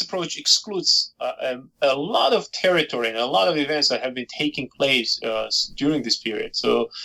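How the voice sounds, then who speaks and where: A man speaks with a Georgian accent. His pace is moderate. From Georgia (Soviet Union). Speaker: historian and author. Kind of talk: interview. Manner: hesitant, many fillers.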